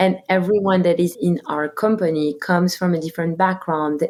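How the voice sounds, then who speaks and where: With a French accent, a woman speaks at a moderate pace. Her pitch is fairly low and her intonation fairly even. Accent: very French. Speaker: company co-founder and CEO. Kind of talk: interview.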